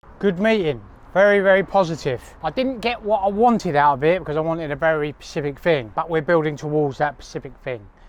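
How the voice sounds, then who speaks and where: A man with a southern English accent, fairly high-pitched, very fast, with lively intonation. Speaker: cleaning business owner and vlogger. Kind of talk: vlog to camera.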